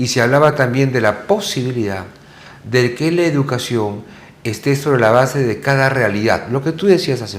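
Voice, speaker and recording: Moderately paced speech from a man at medium pitch, with ordinary pitch variation and audible room echo. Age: 60s. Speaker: TV talk show host. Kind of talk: interview conversation.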